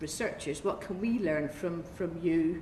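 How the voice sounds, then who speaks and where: Pitched fairly low, a woman speaks with ordinary pitch variation amid noticeable background noise and audible room echo. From Northern Ireland (Belfast). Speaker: oncologist. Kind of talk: conference talk.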